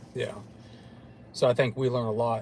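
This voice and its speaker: A man with an American accent talks at a fairly quick pace, medium in pitch. His voice is somewhat breathy and his intonation flat and monotone. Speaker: paranormal investigator show host. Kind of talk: casual chat.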